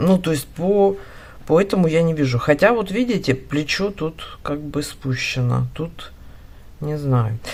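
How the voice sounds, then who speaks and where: Very deep, low female voice at a very slow pace, with lively intonation. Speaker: knitting instructor. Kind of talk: tutorial. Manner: casual, thinking aloud.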